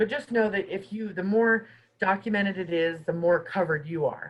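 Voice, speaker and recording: Her voice is somewhat breathy, at medium pitch for a woman. Pitch varies in an ordinary way. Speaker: housing mediator at a guest organization. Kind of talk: webinar presentation. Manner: fast.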